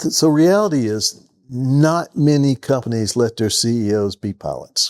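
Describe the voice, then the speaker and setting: With a Southern US accent, a man talks at a moderate pace in a fairly high voice with lively intonation, recorded very cleanly with a silent background and a dry, close sound with no echo. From US South (Georgia). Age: 70s. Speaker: retired business executive and pilot. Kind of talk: interview.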